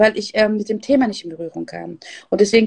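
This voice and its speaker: In a normal speaking voice, a woman talks at a fairly quick pace and fairly high pitch, the sound dry and close with no echo. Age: 40s. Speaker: business coach and podcast host. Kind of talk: interview. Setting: Instagram live video.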